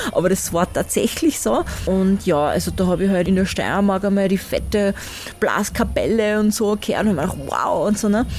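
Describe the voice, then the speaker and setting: A woman with an Austrian accent, ordinary pitch variation, and noticeable background noise. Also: medium pitch for a woman, moderate pace. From Styria, Austria. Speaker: workshop leader, musician. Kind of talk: interview. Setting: outdoor festival.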